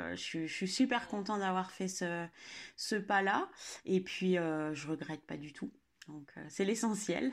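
In a very clean recording with a silent background, a woman with a medium-pitched voice speaks very slowly, with big swings in loudness and ordinary pitch variation. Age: 30s. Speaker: dog owner. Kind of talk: casual chat.

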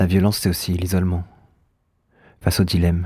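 A man speaks in a very deep, low voice with a dark, mellow tone and a somewhat breathy quality. His delivery is flat and monotone, and the recording is very clean with a silent background. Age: 30s. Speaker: podcast narrator. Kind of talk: scripted narration.

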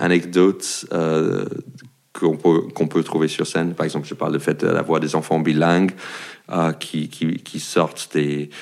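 A man with an American accent speaks at a very deep, low pitch. His intonation is monotone and flat. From United States. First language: English (speaking French). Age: 40s. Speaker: comedian. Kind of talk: casual chat. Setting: at his home. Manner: halting.

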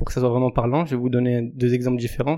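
A man's medium-pitched voice, dark and mellow in tone, on a very clean recording with a silent background. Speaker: sports coach and entrepreneur. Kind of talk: casual interview. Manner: enthusiastic.

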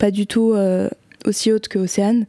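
A woman talks at a fairly slow pace in a monotone, flat intonation. Noticeable background noise sits behind her. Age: 20s. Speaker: guest with bipolar disorder. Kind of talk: casual chat.

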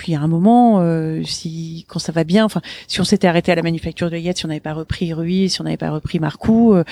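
A woman's fairly low pitch at a fairly quick pace, dry and close with no echo, amid noticeable background noise. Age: 50s. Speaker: business owner. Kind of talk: interview. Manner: animated.

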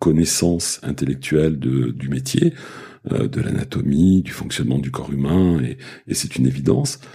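Over noticeable background noise, a man with a very deep, low voice speaks at a moderate pace with fairly even intonation. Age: 60s. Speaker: osteopath. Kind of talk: casual chat. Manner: halting.

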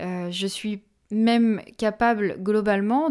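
On a very clean recording with a silent background, a woman speaks at a medium pitch with a dark, mellow tone and fairly even intonation. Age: 20s. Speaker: medium and energy healer podcast host. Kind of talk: solo podcast monologue.

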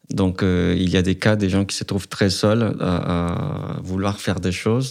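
The speaker has a Spanish accent and ordinary pitch variation. The pace is fairly slow. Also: man. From Colombia. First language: Spanish (speaking French). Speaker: student activist. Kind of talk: testimony.

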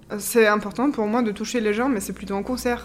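Fairly quick and monotone, a woman talks with flat intonation at a fairly high pitch. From Austria. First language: German (speaking French). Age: 30s. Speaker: orchestra violinist. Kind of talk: interview testimony. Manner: hesitant, with fillers and repetitions.

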